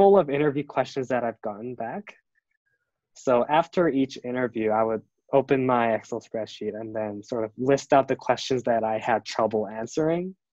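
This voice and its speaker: The man's tone is dark and mellow, with ordinary pitch variation at a moderate pace. The sound is dry and close, with no echo. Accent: Korean. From South Korea. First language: Korean. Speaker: design student and product designer. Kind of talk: interview. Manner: halting, many fillers.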